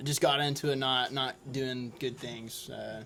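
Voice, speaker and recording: This is a man speaking with an American accent. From Oklahoma, Oklahoma City area. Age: 20s. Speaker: firefighter and rafting guide. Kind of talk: casual interview. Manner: halting.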